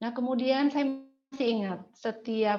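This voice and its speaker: Speaking at a moderate pace, a woman with a West Javanese accent has a fairly high pitch. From Indonesia, West Java (Cigugur, Kuningan, Sundanese). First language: Sundanese (speaking Indonesian). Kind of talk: testimony.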